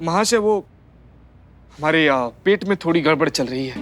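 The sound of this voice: A man puts on a hoarse character voice at a fairly high pitch. He moves at a fairly quick pace with lively intonation.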